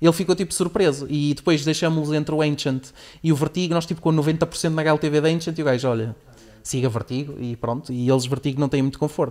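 A man speaks at a fairly quick pace with a fairly high pitch and fairly even intonation. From Portugal. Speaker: podcast host. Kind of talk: sales pitch; casual chat. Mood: relaxed, humorous. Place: studio. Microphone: studio mic.

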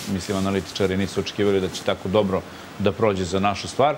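A man speaks in a fairly low pitch. Light background noise sits behind him. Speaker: guest, security analyst. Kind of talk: interview answer. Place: studio. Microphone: lapel.

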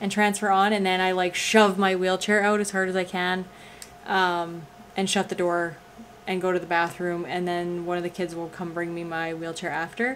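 Over light background noise, the speech moves at a fairly quick pace in a monotone, flat intonation. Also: woman. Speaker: vlogger. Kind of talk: casual vlog chat. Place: home room. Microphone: phone near.

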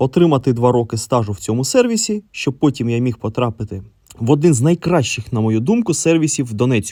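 A man's tone is dark and mellow as he talks fairly quickly. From eastern Ukraine, Donetsk. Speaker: electronics repair technician. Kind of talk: scripted narration.

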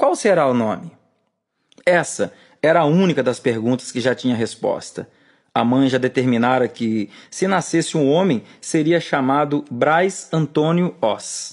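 An unremarkable speaking voice from a man, fairly high in pitch, with ordinary pitch variation against a quiet background. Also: fairly slow pace. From Brazil, rural Espírito Santo. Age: 40s. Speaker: author and musician narrating his own book; audiobook narrator. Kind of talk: audiobook reading.

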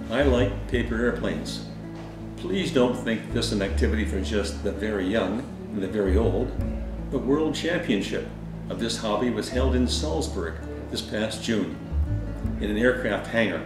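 Clear music plays in the background as a man speaks at a moderate pace with long, frequent pauses and audible room echo. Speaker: paper airplane hobbyist. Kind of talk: hobby demo talk to camera. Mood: calm, friendly. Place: home room. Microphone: camera far.

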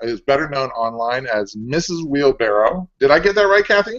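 Pitch swings very widely while the delivery keeps a medium speed. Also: man. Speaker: show co-host. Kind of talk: casual chat. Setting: video call. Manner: loud. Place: home room. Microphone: earbuds.

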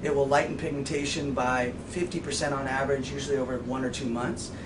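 A man talks fairly quickly while noticeable noise sits in the background. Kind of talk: interview answer. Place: shop.

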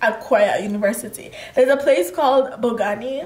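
A woman's high-pitched voice carries an animated tone, with audible room echo around it. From Kenya. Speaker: lifestyle vlogger. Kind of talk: casual chat. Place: home room.

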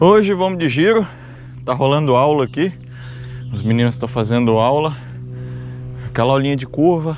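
Against light background noise, a man talks at a fairly quick pace with ordinary pitch variation, the sound dry with no echo. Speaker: cycling vlogger. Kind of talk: casual vlog chat. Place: open country. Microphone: phone near.

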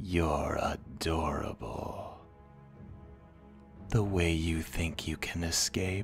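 A man uses a put-on character voice, very deep and low. He talks very slowly with long, frequent pauses while music plays clearly in the background. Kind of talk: ASMR roleplay. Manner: taunting.

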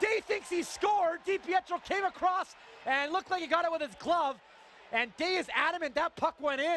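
A man speaks in a raised, projected voice at an extremely high pitch, with an animated tone and ordinary pitch variation. The sound is dry and close with no echo, with noticeable background noise. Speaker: play-by-play announcer. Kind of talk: live sports commentary, play-by-play of a hockey game. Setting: arena broadcast, highlight package. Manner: animated, excitable, rapid-fire calls that swell on goals; conversational and upbeat, with quips.

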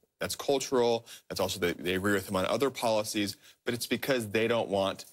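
This man has a normal speaking voice with fairly low pitch, talking at a fairly quick pace over a quiet background. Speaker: news reporter. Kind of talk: interview answer. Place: studio. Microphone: lapel.

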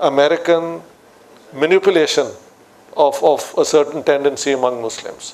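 A man speaks with a Pakistani Punjabi accent. His pace is fairly slow and his pitch variation ordinary. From Pakistan, Lahore. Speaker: political scientist; guest. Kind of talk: public discussion on stage. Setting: stage with audience. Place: studio.

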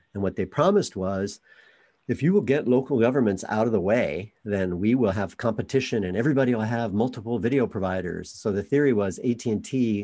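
A dark, mellow tone over a quiet background. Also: man. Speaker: community media nonprofit director; guest. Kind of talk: presentation with audience Q&A. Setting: video call. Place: home room.

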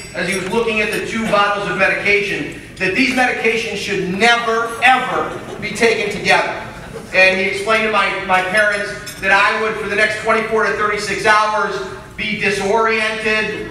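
A man uses a raised, projected voice with monotone, flat intonation, heard over light background noise with audible room echo. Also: moderate pace. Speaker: speaker. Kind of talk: speech telling a story. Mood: humorous storytelling. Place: hall.

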